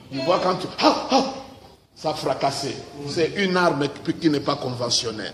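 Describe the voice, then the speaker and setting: Against noticeable background noise and audible room echo, a man talks at a fairly high pitch with ordinary pitch variation. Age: 60s. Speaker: pastor. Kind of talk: interview. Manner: hesitant, many 'euh' fillers.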